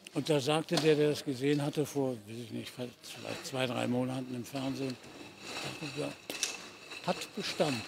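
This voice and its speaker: Long, frequent pauses break up the speech against noticeable background noise. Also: man, moderate pace, dry sound with no echo. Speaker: voice actor, dubbing and audio drama narrator. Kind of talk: interview answer. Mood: reflective, warm. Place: stadium.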